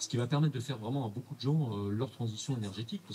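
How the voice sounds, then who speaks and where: A man's very fast, somewhat breathy, medium-pitched voice in a regional French accent, dark and mellow in tone, with ordinary pitch variation. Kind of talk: casual conversational, podcast or radio.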